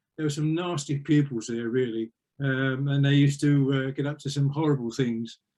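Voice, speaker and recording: In an Essex accent, a man talks at a moderate pace and a fairly high pitch. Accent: southern English (Essex). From Essex, England. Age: 70s. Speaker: retired police officer and magistrate. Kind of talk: life story interview.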